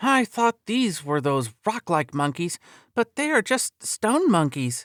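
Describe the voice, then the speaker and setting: A put-on character voice at a fairly high pitch swings very widely in pitch at a fairly slow pace. The recording is very clean, with a silent background. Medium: read story.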